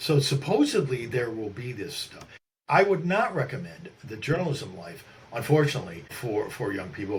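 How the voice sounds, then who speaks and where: A man with an American accent and lively intonation at a moderate pace, over noticeable background noise. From upstate New York. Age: 60s. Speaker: journalist and author. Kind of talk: interview conversation. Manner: halting, many restarts and fillers.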